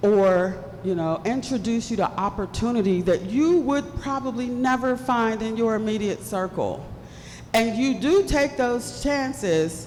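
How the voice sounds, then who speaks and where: A woman's animated voice with lively intonation, plus audible room echo and noticeable background noise. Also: fairly high pitch for a woman. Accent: American. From West Virginia (Bluefield), US Appalachia. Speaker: keynote speaker. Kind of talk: keynote speech. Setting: stage with audience.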